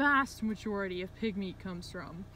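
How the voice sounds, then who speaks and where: A woman speaks with light background noise behind her. The sound is dry, with no echo. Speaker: vegan activist vlogger. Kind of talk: emotional rant monologue. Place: car.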